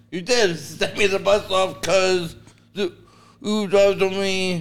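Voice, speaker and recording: Music in the background behind a very slow pace of speech. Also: man. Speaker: stand-up comedian. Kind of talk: casual chat. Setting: studio.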